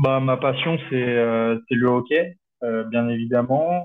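A man speaks at a medium pitch. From France, Alps (Chamonix). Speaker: ice hockey player. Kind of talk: interview. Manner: hesitant, many fillers.

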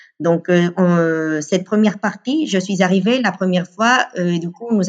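A woman with a Spanish accent, medium-pitched, at a fairly slow pace with hardly any pauses and ordinary pitch variation. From Venezuela, Caracas. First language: Spanish (speaking French). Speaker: communications officer. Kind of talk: casual interview. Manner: hesitant, many fillers.

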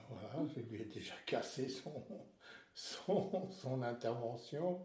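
This man's tone is dark and mellow, somewhat breathy, and fairly high in pitch. He talks at a very slow pace with lively intonation. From Alsace, France. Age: 70s. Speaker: retiree sharing life story. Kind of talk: interview, life story. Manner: halting, with many repetitions.

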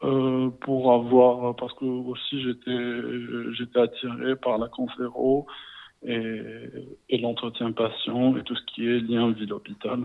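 At a very slow pace, a man delivers his words in a medium pitch with monotone, flat intonation. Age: 20s. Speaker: hospital pharmacy resident. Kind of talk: interview. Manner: halting.

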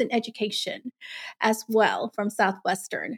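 A woman with an ordinary speaking voice, fairly high in pitch, at a moderate pace and fairly even intonation, in a very clean recording with a silent background. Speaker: podcast co-host. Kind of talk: podcast interview.

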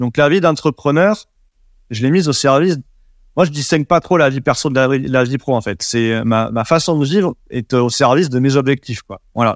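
This man talks at a moderate pace with a fairly high pitch and a southwest French accent. The sound is dry and close with no echo, and the recording is very clean with a silent background. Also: ordinary pitch variation. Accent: southwest French accent, noticeable. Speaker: WordPress developer and agency founder. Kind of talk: interview. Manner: hesitant, many repetitions and fillers.

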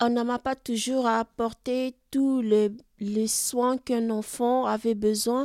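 A woman speaks in a high pitch with monotone, flat intonation. Her pace is very slow. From Chad. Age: 20s. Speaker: homeless woman. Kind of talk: testimony. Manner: halting.

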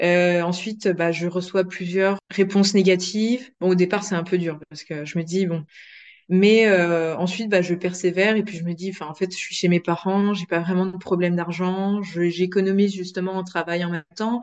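A woman at a moderate pace, with monotone, flat intonation. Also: medium pitch for a woman. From France. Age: 20s. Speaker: process engineer. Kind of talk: interview. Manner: hesitant, many fillers.

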